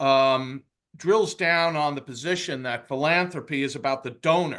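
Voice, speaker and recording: In a Bronx accent, a man speaks at a fairly high pitch with a bright, sharp tone and ordinary pitch variation. The background is quiet. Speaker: webinar host. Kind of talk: webinar presentation. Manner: reading from script, hesitant fillers.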